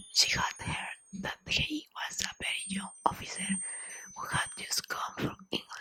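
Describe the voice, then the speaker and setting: A woman whispering at a very slow pace. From Latin America. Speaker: ASMR content creator. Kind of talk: ASMR story reading. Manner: soft-spoken.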